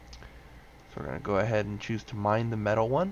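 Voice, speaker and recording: A man talks quietly at a moderate pace. His fairly low voice has very wide pitch swings. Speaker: gaming tutorial creator. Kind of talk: tutorial. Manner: quiet, subdued because others sleeping.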